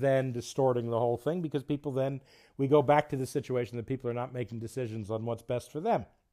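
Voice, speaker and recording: A voice with a New Jersey accent and a dark, mellow tone, captured in a very clean recording against a silent background. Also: man. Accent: New Jersey American. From New Jersey, US. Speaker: podcast host, international development worker. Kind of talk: podcast intro monologue.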